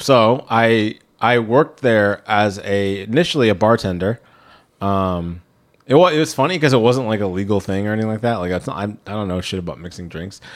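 A man's fairly low voice, an ordinary speaking voice at a fairly quick pace with ordinary pitch variation. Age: 30s. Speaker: podcast host. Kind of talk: casual chat.

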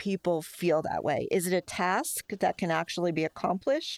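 An ordinary speaking voice with an American accent and ordinary pitch variation comes through a very clean recording with a silent background. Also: woman. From Bronx, New York. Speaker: newspaper interviewer. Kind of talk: interview.

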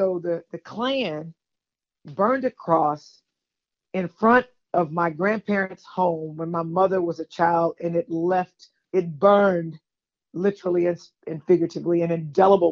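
In a Southern US accent, the speaker keeps a moderate pace and ordinary pitch variation. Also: woman. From Texas, Houston. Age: 50s. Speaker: caller. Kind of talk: casual chat. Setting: phone call.

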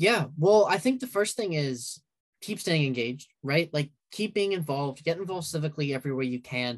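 A man's plain, everyday voice, fairly high for a man, with lively intonation and a fairly quick pace. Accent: American. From downstate New York. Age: 20s. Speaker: student organizer. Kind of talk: interview.

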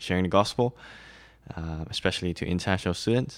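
In a very clean recording with a silent background, a man with a Mandarin accent speaks at a fairly low pitch. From Malaysia, then Shanghai. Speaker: campus ministry worker. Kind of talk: casual interview. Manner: halting.

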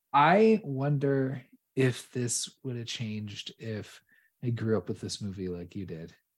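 A man speaks at a fairly slow pace and a medium pitch. He has a plain, everyday voice with lively intonation. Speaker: podcast host. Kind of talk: casual chat. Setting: remote recording.

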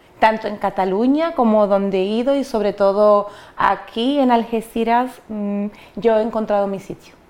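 A woman speaks at a moderate pace in a fairly high pitch. Her intonation stays fairly even. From Dominican Republic (Cabrera, María Trinidad Sánchez). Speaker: migrant interviewee. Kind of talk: interview. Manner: hesitant, many fillers and repetitions.

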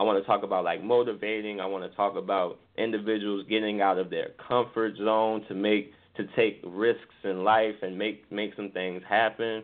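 In an American accent, a man speaks at a moderate pace with monotone, flat intonation. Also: fairly low pitch for a man. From New Orleans, US South. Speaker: singer-songwriter. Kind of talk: interview.

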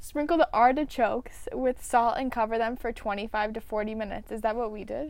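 Speaking in an ordinary speaking voice, a woman with a fairly high pitch and ordinary pitch variation makes big swings in loudness. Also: hardly any pauses. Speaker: podcast host. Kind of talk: casual chat.

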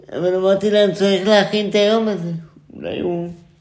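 Audible room echo surrounds a man speaking at a moderate pace in a high pitch. His intonation is monotone and flat. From Israel, central (Ness Ziona). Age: 20s. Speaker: theatre student and performance artist. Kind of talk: casual chat.

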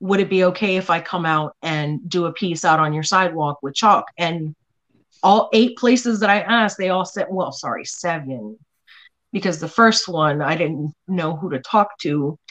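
In an ordinary speaking voice, a woman talks at a moderate pace with a fairly low pitch and ordinary pitch variation against a quiet background. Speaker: artist. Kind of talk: casual chat.

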